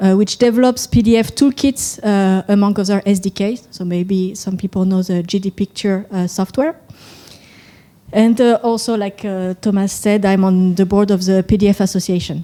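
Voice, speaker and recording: A woman with a French accent speaks at a medium pitch in a dark, mellow tone, her intonation fairly even. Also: moderate pace. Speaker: software company executive. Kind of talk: conference talk. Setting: stage with audience.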